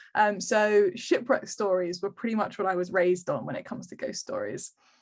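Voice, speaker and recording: Speaking at a fairly quick pace in an English accent, a woman uses a fairly high pitch and ordinary pitch variation. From England, Kent (Canterbury). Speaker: historical romance author. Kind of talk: interview. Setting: video call. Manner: many filler ums.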